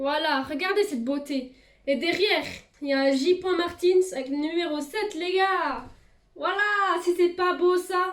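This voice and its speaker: A woman speaks at a very slow pace with long, frequent pauses. Her pitch varies in an ordinary way. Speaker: YouTuber. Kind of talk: casual vlog. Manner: hesitant, many fillers.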